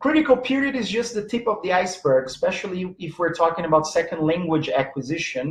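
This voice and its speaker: A man with a Portuguese accent speaks in a high voice at a moderate pace. His pitch varies in an ordinary way. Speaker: teacher and presenter on language learning. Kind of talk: live online lecture. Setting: live stream. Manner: halting, many fillers.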